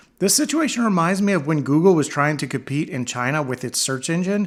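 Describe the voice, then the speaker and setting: A normal speaking voice from a man with an American accent, lively intonation and a fairly quick pace. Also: very clean recording, silent background. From United States. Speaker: tech commentator. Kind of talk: opinion commentary.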